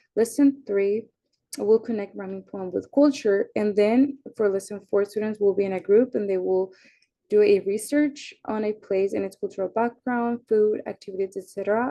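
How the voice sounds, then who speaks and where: With a Spanish accent, a woman speaks in a dark, mellow tone at a medium pitch, keeping a moderate pace and fairly even intonation. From Mexico and Iowa. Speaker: university student. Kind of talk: class presentation.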